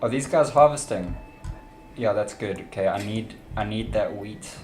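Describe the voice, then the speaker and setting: A man with a South African accent talks at a moderate pace in a fairly low pitch with ordinary pitch variation. Music plays in the background, and the room echo is audible. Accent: South African, noticeable. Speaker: video game streamer. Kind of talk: live gaming stream commentary. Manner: casual, thinking aloud.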